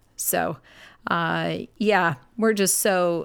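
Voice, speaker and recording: A woman with a medium pitch has an unremarkable speaking voice and fairly even intonation. The recording is very clean, with a silent background. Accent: Canadian. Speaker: nurse and ministry worker. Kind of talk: casual interview.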